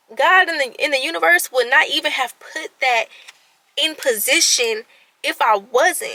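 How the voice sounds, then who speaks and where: A woman speaks at a fairly slow pace in a raised, projected voice, animated in tone, with very wide pitch swings. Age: 20s. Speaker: vlogger. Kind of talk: casual vlog monologue. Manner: stuttering at times.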